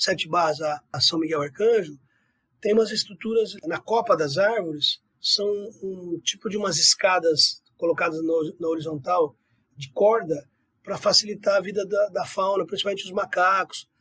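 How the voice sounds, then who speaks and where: A man speaks at a high pitch with a bright, sharp tone and big swings in loudness. The pace is moderate and the sound is dry and close with no echo. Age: 60s. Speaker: environmental researcher. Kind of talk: interview. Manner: conversational with fillers.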